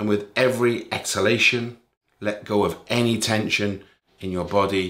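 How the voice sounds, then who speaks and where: This man has a plain, everyday voice, fairly low in pitch, with fairly even intonation. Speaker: meditation teacher. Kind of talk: guided meditation; casual talk to camera. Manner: calm, slow, soothing, gentle pacing with long pauses; warm, caring, encouraging.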